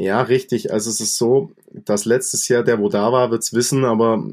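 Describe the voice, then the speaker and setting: A man talks at a medium pitch with ordinary pitch variation in an unremarkable speaking voice. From Allgäu, Bavaria. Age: 20s. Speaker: rock singer and guitarist. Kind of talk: casual chat.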